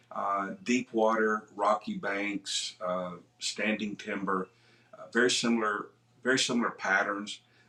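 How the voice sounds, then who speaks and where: This man talks at a fairly slow pace in an American accent, his pitch fairly low. His intonation stays fairly even, and there is noticeable background noise. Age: 60s. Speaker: kayak angler. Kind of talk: interview.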